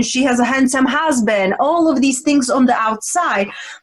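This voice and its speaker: A woman's high-pitched voice over noticeable background noise. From Czech Republic. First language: Czech. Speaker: women's transformational coach. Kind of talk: interview conversation.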